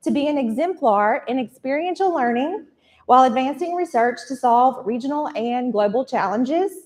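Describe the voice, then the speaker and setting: A woman with a high voice talks at a fairly quick pace, her intonation lively. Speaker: university communications director. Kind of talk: event welcome address. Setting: stage with audience, live streamed. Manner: soft-spoken.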